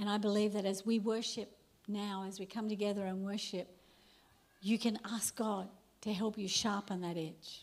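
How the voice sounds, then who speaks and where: Speaking fairly slowly at a medium pitch, a woman keeps a monotone, flat intonation and leaves long, frequent pauses. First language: English (speaking German). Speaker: preacher. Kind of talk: sermon.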